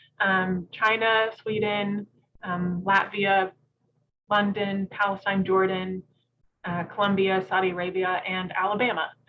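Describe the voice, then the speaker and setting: Speaking at a fairly slow pace, a woman with a Southern accent keeps a monotone, flat intonation throughout. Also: medium pitch for a woman. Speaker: preservationist. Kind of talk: presentation talk. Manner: many filler ums, halting.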